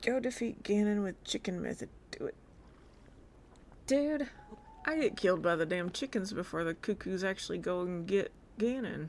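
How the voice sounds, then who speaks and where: With a Southern US accent, a woman uses lively intonation and takes long, frequent pauses. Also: medium pitch for a woman, moderate pace. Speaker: video game streamer. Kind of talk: casual live-stream gameplay chat. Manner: animated.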